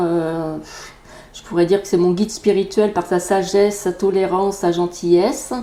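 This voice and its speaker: A woman speaks in a monotone, flat delivery at a fairly slow pace. Noticeable background noise runs underneath. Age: 50s. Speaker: energy therapist and Reiki teacher. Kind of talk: podcast self-introduction.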